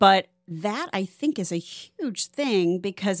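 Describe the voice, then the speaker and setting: A woman with an American accent over music in the background. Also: dry, close sound with no echo. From Ohio, Cleveland. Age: 50s. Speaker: podcast host, realtor. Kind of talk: casual chat.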